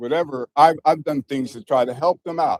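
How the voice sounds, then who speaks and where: A man speaks at a fairly slow pace with ordinary pitch variation, recorded dry and close with no echo. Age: 60s. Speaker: property manager speaking at public comment. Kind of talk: public comment at city council. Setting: council chamber. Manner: halting.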